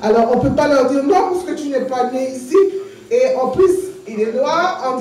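A woman speaks at a high pitch with lively intonation. Audible room echo and light background noise surround her voice. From Saint-Martin. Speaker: activist and candidate. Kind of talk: campaign speech. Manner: passionate. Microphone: podium.

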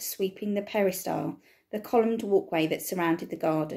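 Ordinary pitch variation shapes a natural reading voice.

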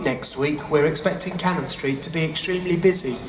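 A man speaks at a moderate pace with a high pitch. The room echo is audible, and music plays clearly in the background. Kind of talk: public announcement. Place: station.

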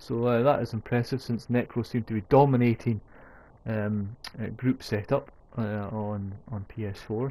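A man with a Scottish accent speaks at a medium pitch in a dark, mellow tone, his intonation fairly even. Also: very clean recording, silent background. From Scotland. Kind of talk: gaming commentary voiceover. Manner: casual, hesitant.

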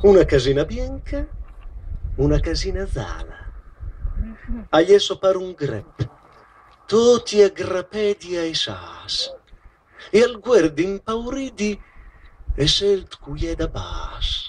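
With a Romagnolo accent, a man talks at a very slow pace marked by long, frequent pauses. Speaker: poetry reader. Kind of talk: poetry reading. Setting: outdoors. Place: stage. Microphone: handheld.

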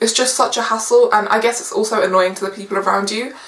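A woman's voice carries an audible room echo. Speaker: student vlogger. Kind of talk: casual vlog tips. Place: home room.

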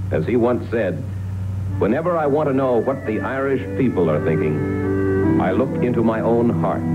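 Loud music plays in the background. The speech moves at a moderate pace. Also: man. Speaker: journalist. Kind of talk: TV documentary narration. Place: studio.

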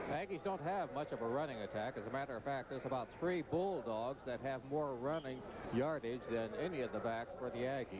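A man's normal speaking voice: medium pitch, ordinary pitch variation, at a fairly quick pace. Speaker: color commentator. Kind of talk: live commentary. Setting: stadium broadcast booth.

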